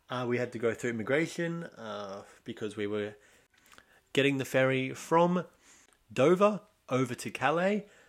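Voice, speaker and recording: A man with an Australian accent, medium in pitch, lively in intonation, at a moderate pace with long, frequent pauses, on a very clean recording with a silent background. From Australia, Sydney. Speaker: podcast host. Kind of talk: casual solo monologue.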